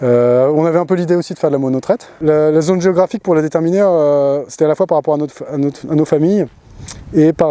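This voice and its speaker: The tone is dark and mellow, with ordinary pitch variation at a fairly quick pace. The sound is dry and close, with no echo. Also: man. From Paris region, France. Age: 30s. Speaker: dairy farmer. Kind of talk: interview testimony. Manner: halting, many hesitations.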